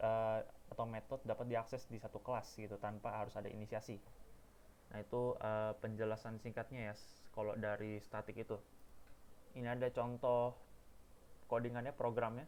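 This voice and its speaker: A man's medium-pitched voice at a fairly quick pace, fairly even in intonation, with long, frequent pauses. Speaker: university student. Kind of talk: tutorial. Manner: halting. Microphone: too quiet, mic problem.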